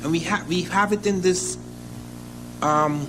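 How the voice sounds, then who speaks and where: High-pitched male speech at a moderate pace, with ordinary pitch variation and audible room echo. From Africa. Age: 60s. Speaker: professor. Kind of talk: lecture.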